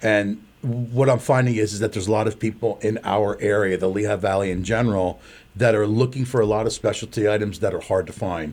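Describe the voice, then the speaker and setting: A plain, everyday voice, a man with fairly low pitch talks at a fairly quick pace with hardly any pauses and fairly even intonation on a very clean recording with a silent background. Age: 60s. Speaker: pasta maker and small business owner. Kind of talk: interview.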